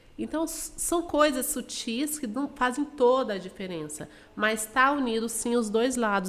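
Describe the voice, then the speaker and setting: Lively intonation in a woman's high voice, moving at a moderate pace. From Mato Grosso do Sul, Brazil (Dourados). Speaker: financial educator. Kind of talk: podcast interview.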